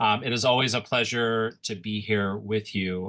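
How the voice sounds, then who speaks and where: In a bright, sharp tone, a man speaks at a medium pitch with monotone, flat intonation over a quiet background. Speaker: school principal. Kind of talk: presentation. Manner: fast.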